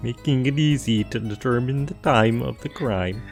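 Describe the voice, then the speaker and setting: A man talks at a moderate pace in a put-on character voice of medium pitch. Clear music plays in the background. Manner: cheery, bubbly.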